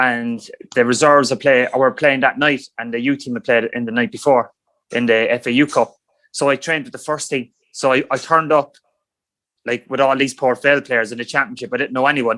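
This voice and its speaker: A man with an Irish accent, medium in pitch, bright and sharp in tone, with fairly even intonation. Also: fairly quick pace. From Ireland, rural County Cork. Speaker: former professional footballer. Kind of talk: podcast interview.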